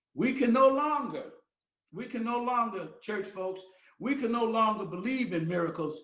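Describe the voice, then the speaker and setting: In a room with audible echo, a man speaks at a moderate pace and high pitch, his voice making very wide pitch swings. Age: 70s. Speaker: pastor. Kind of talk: sermon. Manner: animated.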